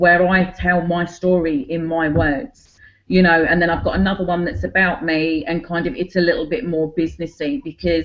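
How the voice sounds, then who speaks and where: Speaking at a moderate pace with hardly any pauses, a woman with a Cockney accent uses a fairly low pitch and ordinary pitch variation. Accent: Cockney London English. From London, England (Cockney). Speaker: online business owner. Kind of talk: group video call presentation.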